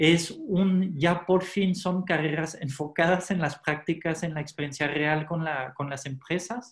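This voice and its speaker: Fairly slow, hardly pausing speech from a man with a high pitch and fairly even intonation. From France. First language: French (speaking Spanish). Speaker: former hotel manager, education advisor. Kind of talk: interview.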